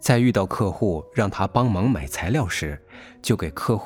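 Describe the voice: This plain reading aloud has lively intonation.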